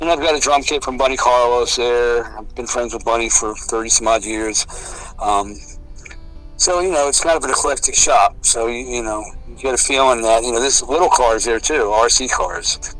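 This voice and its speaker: With music playing in the background, a man of medium pitch speaks at a moderate pace and with ordinary pitch variation. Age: 60s. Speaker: heavy metal drummer. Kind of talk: casual interview chat.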